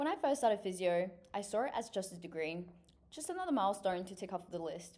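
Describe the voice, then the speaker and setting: A woman with a dark, mellow tone speaks fairly quickly at a medium pitch, her intonation lively. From China, then New Zealand from age 10. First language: Chinese. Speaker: physiotherapy student. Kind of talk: scripted application video. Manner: formal.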